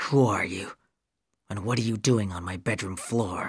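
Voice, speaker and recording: In a quiet, growling put-on character voice, a man speaks at a moderate pace with a fairly low pitch. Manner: quiet, hard, threatening.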